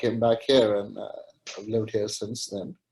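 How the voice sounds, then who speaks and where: A man with a Pakistani accent, dark, mellow tone and monotone, flat intonation. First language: Urdu. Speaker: webinar participant. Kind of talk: panel discussion. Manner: halting, many fillers.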